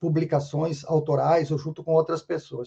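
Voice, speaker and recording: A man at a moderate pace. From southern Brazil, Rio Grande do Sul. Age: 60s. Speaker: sociologist and consultant. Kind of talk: interview podcast conversation. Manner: repetitive, halting restarts.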